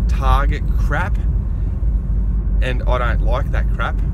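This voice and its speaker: Loud background noise fills the clip as a man talks. His sound is dry and has no echo. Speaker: driver vlogger. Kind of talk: casual vlog chat. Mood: cheerful, laughing. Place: car. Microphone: phone near.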